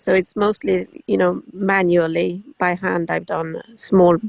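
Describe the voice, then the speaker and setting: A woman speaks with a Swedish accent in a dry, close sound with no echo. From Sweden. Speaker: hobby flax grower. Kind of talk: casual chat.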